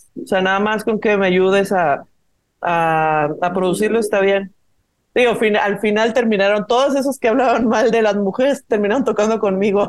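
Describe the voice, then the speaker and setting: This woman has an unremarkable speaking voice at a medium pitch, keeping a moderate pace and very even loudness. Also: ordinary pitch variation. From Mexico, Guadalajara. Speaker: singer-songwriter and producer. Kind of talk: casual interview chat.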